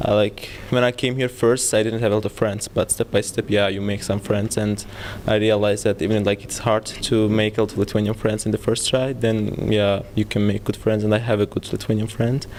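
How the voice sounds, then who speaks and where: A man's fairly low, flat monotone at a fairly quick pace, over noticeable background noise. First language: not English. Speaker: international student. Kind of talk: interview.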